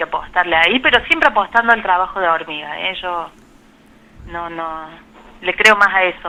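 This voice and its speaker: In a strong Córdoba accent, a woman speaks with long, frequent pauses. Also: medium pitch for a woman, ordinary pitch variation, moderate pace. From Argentina, Córdoba. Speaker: biologist and Chagas researcher. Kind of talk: radio interview. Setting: phone call.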